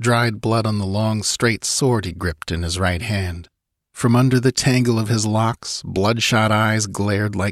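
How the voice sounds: The background is free of noise. A natural reading voice is heard.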